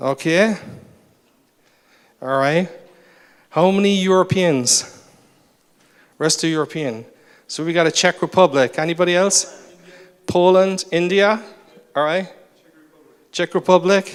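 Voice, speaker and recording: A man speaks in a Cork accent at a fairly slow pace. His pitch is high with ordinary variation, and he leaves long, frequent pauses. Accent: Cork accent, sing-song. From Ireland, Cork city. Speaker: conference speaker. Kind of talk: conference talk. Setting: stage with audience. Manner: rises in pitch when excited; animated.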